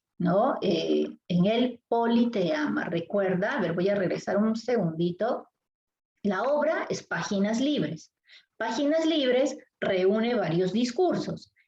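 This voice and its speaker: Somewhat breathy and dark, mellow in tone, a woman speaks at a very slow pace with a fairly high pitch, lively intonation and very even loudness. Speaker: literature teacher. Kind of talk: lecture.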